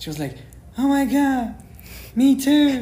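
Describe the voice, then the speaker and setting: A man's voice carries audible room echo. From southern Germany, village (Iranian-born). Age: 20s. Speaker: business student. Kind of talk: casual chat.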